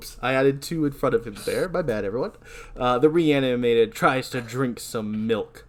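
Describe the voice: Someone is doing plain reading aloud. The intonation rises and falls in a lively way.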